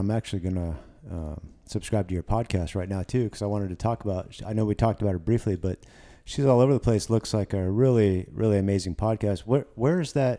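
Speaking very fast with ordinary pitch movement, a man with a fairly low voice is heard on a very clean recording with a silent background. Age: 40s. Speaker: podcast host. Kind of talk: casual interview.

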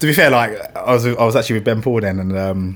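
Speaking with a London accent, a man uses ordinary pitch variation. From West London. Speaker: illustrator and motion designer, studio founder. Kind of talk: casual podcast interview. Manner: fast talker.

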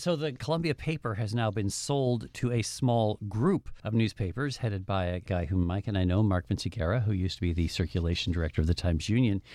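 A man with an American accent speaks at a fairly low pitch with lively intonation and hardly any pauses. His pace is moderate and the background quiet. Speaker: media show host, former newspaper editor. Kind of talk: casual panel discussion.

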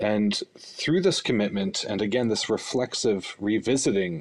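With a Canadian accent, a man talks at a moderate pace in a fairly low pitch. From Northwest Territories, Fort Smith. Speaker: podcast producer. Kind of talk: casual panel discussion. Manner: halting, many fillers and repeats.

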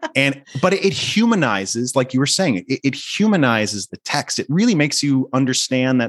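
Against a quiet background, a man of medium pitch speaks in a normal speaking voice. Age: 40s. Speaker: media editor. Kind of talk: casual interview.

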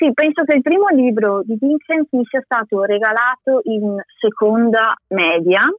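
Her voice is an ordinary speaking voice, as this woman talks at a fairly slow pace with fairly high pitch and lively intonation. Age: 20s. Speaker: former master's student, graphic designer and illustrator. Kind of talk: interview. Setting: remote call.

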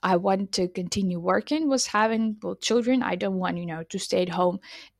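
A woman speaks with a Ukrainian accent. The sound is dry and close, with no echo. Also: very clean recording, silent background. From Ukraine, Lviv. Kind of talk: interview. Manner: halting, many fillers.

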